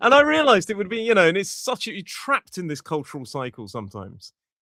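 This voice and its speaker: A man in an RP accent uses a bright, sharp tone with very wide pitch swings, recorded dry and close with no echo. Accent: modern RP. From England. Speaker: English teacher. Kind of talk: podcast conversation.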